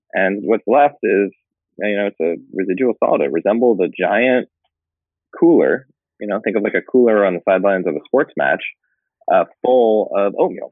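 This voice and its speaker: A man speaks with a West Coast accent at a moderate pace. His delivery is broken by long, frequent pauses. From Northern California. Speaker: food startup founder. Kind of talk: interview.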